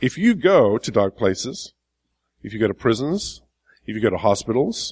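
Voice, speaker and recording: A man with an American accent talks at a fairly slow pace, his pitch swinging very widely. The recording is very clean with a silent background, and the sound is dry and close with no echo. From England. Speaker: pastor. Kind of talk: sermon.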